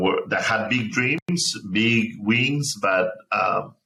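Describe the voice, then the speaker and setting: A man with a Spanish accent. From Mexico, small town; moved to Chicago suburb at 15. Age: 30s. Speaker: nonprofit founder. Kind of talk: interview. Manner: halting, many repetitions.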